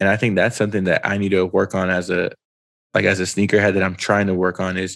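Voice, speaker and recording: A man speaks very fast in a New York accent, his pitch fairly low and his intonation flat and monotone. The recording is very clean, with a silent background. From Brooklyn, New York. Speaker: sneaker show host. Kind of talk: casual chat.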